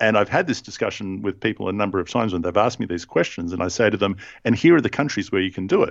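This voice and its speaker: Very rapid male speech, fairly low in pitch, its melody varying in a normal way. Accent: Australian. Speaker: podcast host. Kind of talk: casual chat about scripture.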